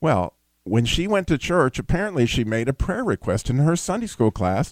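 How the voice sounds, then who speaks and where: A man with a normal speaking voice talks at a fairly high pitch and a fairly quick pace. The sound is dry and close, with no echo. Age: 60s. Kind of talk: call-in radio show monologue. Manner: conversational, folksy.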